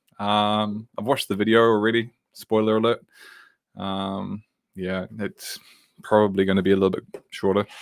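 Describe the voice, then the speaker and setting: With a New Zealand accent, the speaker keeps a monotone, flat intonation at a moderate pace, with long, frequent pauses. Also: man, fairly low pitch for a man. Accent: New Zealand (Kiwi). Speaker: tech worker and livestream host. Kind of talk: live tutorial stream. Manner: casual, many fillers.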